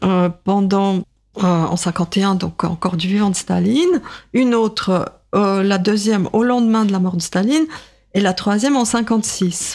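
A woman with a Russian accent speaks at a fairly slow pace and medium pitch, with ordinary pitch variation and very even loudness. The recording is very clean, with a silent background. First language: Russian (speaking French). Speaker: writer and literature professor. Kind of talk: radio interview. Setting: radio studio. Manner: hesitant, many fillers.

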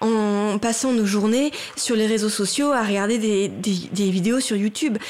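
A woman with an unremarkable speaking voice, fairly high in pitch, at a fairly slow pace and very even loudness. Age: 40s. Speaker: writer and theatre director. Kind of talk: radio interview discussion. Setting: radio studio.

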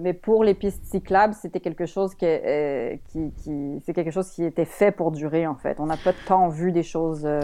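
Fairly low in pitch with a dark, mellow tone, a woman speaks at a fairly slow pace. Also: fairly even intonation, hardly any pauses. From Quebec, Montreal. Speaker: author and columnist. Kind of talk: radio interview.

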